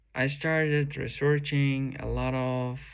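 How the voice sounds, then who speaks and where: A man at a very slow pace, with audible room echo. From Uzbekistan. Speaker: software engineer and first-time vlogger. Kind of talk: personal vlog testimony. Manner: halting, with many fillers.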